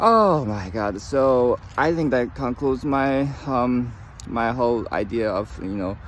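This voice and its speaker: A man speaks with lively intonation. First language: not English. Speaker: trading commentator. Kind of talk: casual talk-to-camera advice. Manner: halting, many fillers; reads from notes at times.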